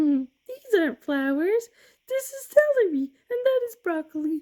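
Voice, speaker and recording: A squeaky, put-on character voice sits at an extremely high pitch with very wide swings. The pace is moderate. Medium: read story.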